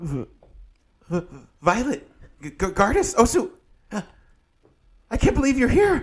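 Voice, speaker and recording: A put-on character voice, fairly high and shaky, creeps along at a very slow pace with long, frequent pauses and very wide pitch swings. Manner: chittering, shaky.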